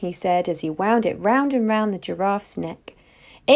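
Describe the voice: The clip is plain reading aloud, delivered line by line.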